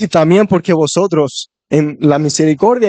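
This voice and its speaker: A man talks at a fairly slow pace in a high pitch. His tone is dark and mellow, the sound dry and close with no echo. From Spain. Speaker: visiting preacher. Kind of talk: sermon.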